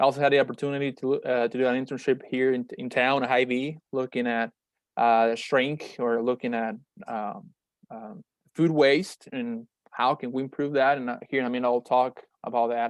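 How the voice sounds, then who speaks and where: Over a quiet background, a man speaks at medium pitch and a moderate pace with fairly even intonation, the sound dry and close with no echo. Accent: Spanish. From Mexico, Monterrey. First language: Spanish. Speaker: meat science researcher and startup founder. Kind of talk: webinar presentation. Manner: halting, many fillers and repetitions.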